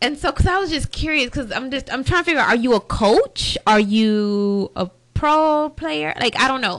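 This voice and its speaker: Her high-pitched voice swings very widely in pitch. The woman keeps a moderate pace with hardly any pauses. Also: quiet background. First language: not English. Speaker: podcast co-host. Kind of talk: casual chat.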